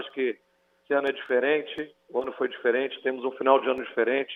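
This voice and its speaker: A man's medium-pitched voice, monotone and flat, at a fairly quick pace. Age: 40s. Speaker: mayor. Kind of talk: TV interview.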